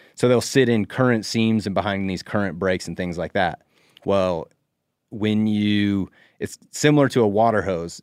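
In a normal speaking voice, a man with an American accent talks at a moderate pace and fairly low pitch with ordinary pitch variation, the sound dry and close with no echo and the recording very clean against a silent background. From US Northwest (Idaho). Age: 30s. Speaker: professional bass angler. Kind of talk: casual chat.

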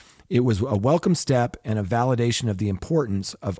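Lively in intonation and dark and mellow in tone, a man speaks at a fairly quick pace in a very clean, silent recording with a dry, close sound and no echo. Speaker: podcast host. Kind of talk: casual chat with news discussion.

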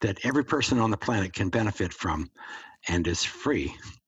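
A man with a fairly low, somewhat breathy voice talks at a moderate pace. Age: 70s. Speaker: author and grounding advocate. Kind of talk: interview.

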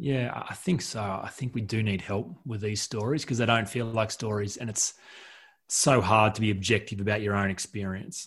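Somewhat breathy, the voice comes in an Australian accent at a moderate pace with ordinary pitch variation over a quiet background. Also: man, fairly low pitch for a man. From rural New South Wales, Australia. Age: 40s. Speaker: author and coach, former pastor. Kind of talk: podcast interview.

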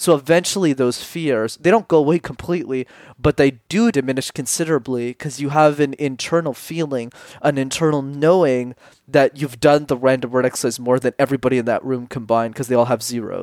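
A man with an unremarkable speaking voice, fairly high pitch and ordinary pitch variation, talking at a fairly quick pace in a dry, close recording with no echo. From Canada, Montreal. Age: 20s. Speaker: public speaking coach. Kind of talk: interview. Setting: podcast interview.

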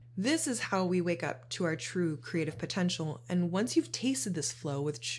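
A woman speaks at a moderate pace with vocal fry. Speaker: podcast host on shadow work. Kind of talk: solo monologue podcast. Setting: home studio. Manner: casual, conversational.

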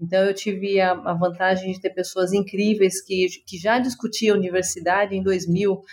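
A woman speaks at a moderate pace in a normal speaking voice. Her pitch is medium. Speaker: tech company executive. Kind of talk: interview conversation.

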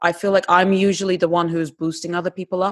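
The speaker has a Turkish accent. The background is quiet. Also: woman. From Turkey, Istanbul. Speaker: actress and TV presenter. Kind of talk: casual chat.

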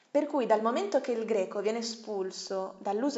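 A woman's unremarkable speaking voice at a fairly high pitch, moderate pace and ordinary pitch variation. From Bologna, Italy. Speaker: guest. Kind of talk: casual interview chat.

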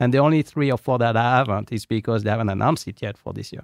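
A man with a French accent talks at a very fast pace with ordinary pitch variation. The sound is dry and close with no echo, over a quiet background. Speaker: investment committee member. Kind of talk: casual market discussion. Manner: halting, many fillers.

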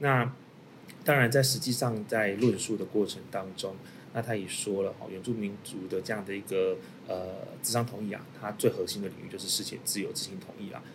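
In a normal speaking voice, the speaker goes at a fairly quick pace with ordinary pitch variation and big swings in loudness. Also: man, fairly low pitch for a man. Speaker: lawyer. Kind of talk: panel discussion on a legal case.

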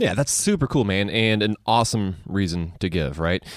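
The very clean recording, dry and close with no echo and a silent background, carries a man's fairly low voice. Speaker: personal finance podcast co-host. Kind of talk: casual chat. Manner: fast.

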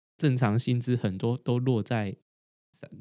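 A man at a very slow pace, dark and mellow in tone, with ordinary pitch variation and a dry, close sound without echo. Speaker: podcast co-host, doctorate holder. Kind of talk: casual chat. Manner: halting, frequent repetitions.

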